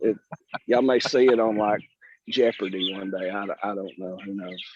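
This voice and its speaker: With a Southern US accent, a man talks at a fairly low pitch with fairly even intonation and big swings in loudness. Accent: Southern drawl. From Alabama, US South. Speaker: purple martin landlord presenter. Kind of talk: casual chat. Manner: halting, repeats words.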